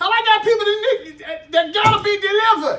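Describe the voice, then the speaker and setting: Bright and sharp, a man's raised, projected voice carries an animated tone at a moderate pace, with audible room echo. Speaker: preacher. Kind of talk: sermon.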